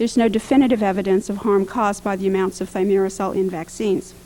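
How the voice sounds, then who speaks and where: Noticeable background noise sits under the audio. A woman talks very fast with fairly even intonation. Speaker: public health official testifying. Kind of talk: formal prepared testimony. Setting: congressional hearing room. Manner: formal.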